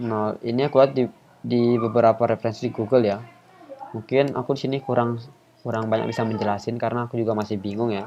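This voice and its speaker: A soft-spoken man at a very fast pace, monotone and flat in intonation, with noticeable background noise. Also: medium pitch for a man. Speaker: YouTuber and student teaching coding. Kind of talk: tutorial. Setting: home recording. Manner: casual. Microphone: quiet voice level.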